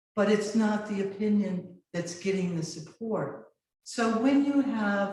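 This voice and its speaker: At a very slow pace, a woman speaks in a dark, mellow, somewhat breathy tone at medium pitch with ordinary pitch variation. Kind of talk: live lecture presentation. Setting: video call.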